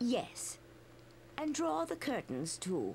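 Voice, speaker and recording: A raspy, put-on character voice from a woman at medium pitch, with very wide pitch swings over clear background noise. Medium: actual play. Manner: soft, gracious.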